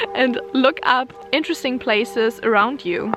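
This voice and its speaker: Against noticeable background noise, a woman speaks at a fairly slow pace and a fairly high pitch with ordinary pitch variation. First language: German. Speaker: vlogger. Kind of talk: casual vlog talk to camera. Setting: outdoors in the snow.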